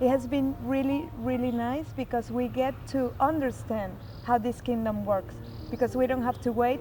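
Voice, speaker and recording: With a Spanish accent, a woman speaks at a fairly slow pace over music in the background. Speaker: pilgrimage center staff. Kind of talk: devotional reflection. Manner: halting.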